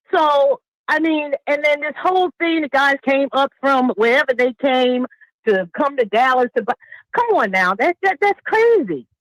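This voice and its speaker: Very wide pitch swings at a moderate pace, in a dry, close sound with no echo. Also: woman, high pitch for a woman. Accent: American. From New York. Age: 50s. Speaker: caller. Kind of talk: call-in discussion. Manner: animated.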